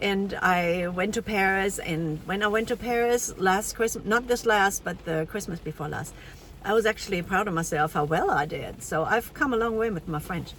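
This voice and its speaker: Noticeable background noise accompanies a woman speaking at a moderate pace with a German accent. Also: medium pitch for a woman, ordinary pitch variation. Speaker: language teacher. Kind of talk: casual vlog commentary reading AI output. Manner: hesitant, many fillers.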